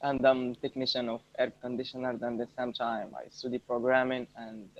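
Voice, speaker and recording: A man's medium-pitched voice with an Arabic accent, monotone and flat, at a fairly quick pace with big swings in loudness. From Morocco. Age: 20s. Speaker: English learner, air conditioning technician. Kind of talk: casual chat. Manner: halting.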